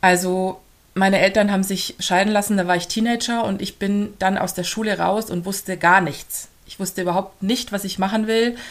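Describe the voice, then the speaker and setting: A woman with a slight Swabian accent talks at a moderate pace in a medium pitch. Her intonation is monotone and flat, and the recording is very clean with a silent background. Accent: slight Swabian undertone. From Augsburg, Bavarian Swabia, Germany. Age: 30s. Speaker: family coach and mother. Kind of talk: podcast interview.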